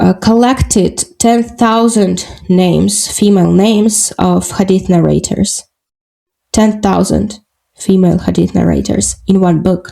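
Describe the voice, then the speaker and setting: A woman with a Russian accent at a very slow pace, her loudness very even. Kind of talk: podcast interview. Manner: halting, many fillers.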